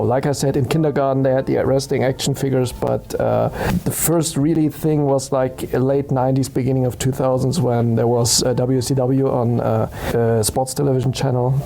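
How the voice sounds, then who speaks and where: A man with a German accent speaks at a moderate pace and medium pitch, his intonation fairly even and his loudness very even, over noticeable background noise. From Germany. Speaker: podcast co-host. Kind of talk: casual chat.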